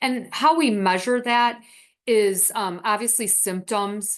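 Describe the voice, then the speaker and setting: Fairly high in pitch, a woman speaks with ordinary pitch variation and an ordinary speaking voice. The background is quiet. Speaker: dietitian presenter. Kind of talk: webinar Q&A.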